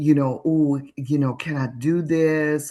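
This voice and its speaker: The delivery moves fairly slowly. Behind it, everything is quiet. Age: 60s. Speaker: panelist. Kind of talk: panel discussion.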